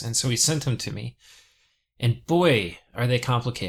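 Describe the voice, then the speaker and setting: Mumbling with vocal fry, a man speaks at a moderate pace in a medium pitch with ordinary pitch variation, in a very clean recording with a silent background. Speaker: gaming video creator. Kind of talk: casual gameplay commentary. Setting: compressed audio recording.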